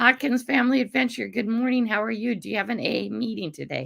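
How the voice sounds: A woman's raspy, hoarse put-on character voice, fairly high in pitch and delivered at a very fast pace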